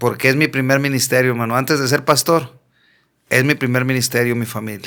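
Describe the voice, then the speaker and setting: With a strong Monterrey accent, this voice moves at a fairly quick pace in a flat, monotone intonation and has a bright, sharp tone. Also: man, medium pitch for a man. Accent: strong northern Mexican (Monterrey). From Mexico, Monterrey. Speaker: pastor. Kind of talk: testimony. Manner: blunt, forceful northern delivery.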